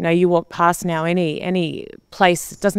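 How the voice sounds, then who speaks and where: A woman with an Australian accent and fairly low pitch speaks at a fairly quick pace in a very clean recording with a silent background. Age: 40s. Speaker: television presenter. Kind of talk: interview.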